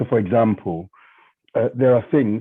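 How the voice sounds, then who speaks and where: Speaking at a fairly quick pace, a man with a non-native accent uses a fairly low pitch and ordinary pitch variation. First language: not English. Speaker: charity trustee. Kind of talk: panel discussion.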